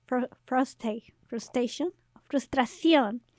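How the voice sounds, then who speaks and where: A woman talks with a high pitch and ordinary pitch variation. Her pace is fairly slow. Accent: Mexican. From Mexico. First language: Spanish. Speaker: podcast host and activist. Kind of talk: casual bilingual interview.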